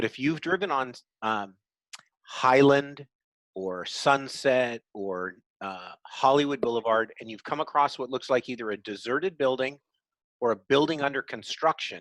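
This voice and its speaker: A man with a medium pitch speaks fairly slowly, with ordinary pitch variation. The very clean recording has a silent background and a dry, close sound with no echo. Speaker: university lecturer. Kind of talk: lecture. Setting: classroom.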